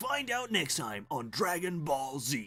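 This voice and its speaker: A man's put-on character voice, fairly high in pitch, with very wide pitch swings and a fairly slow pace. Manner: dramatic, trailer-style narration.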